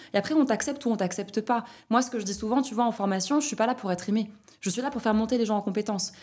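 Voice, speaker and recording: Talking at a very fast pace, a woman with a fairly high pitch uses ordinary pitch variation. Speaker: trainer of trainers. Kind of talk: podcast interview. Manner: loud.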